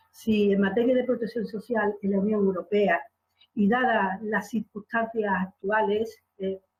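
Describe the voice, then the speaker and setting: A woman talks at a fairly slow pace. Her pitch is fairly high and her intonation fairly even. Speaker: conference moderator, law academic. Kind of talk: conference panel moderation. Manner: halting, many fillers.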